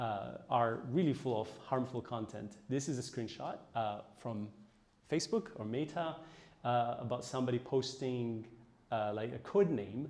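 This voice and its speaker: A man with an Ethiopian accent speaks at a medium pitch with ordinary pitch variation. Audible room echo surrounds his voice. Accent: Ethiopian (Tigrinya) English. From Ethiopia (Tigray region). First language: Tigrinya. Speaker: AI researcher. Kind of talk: lecture. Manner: hesitant, many fillers.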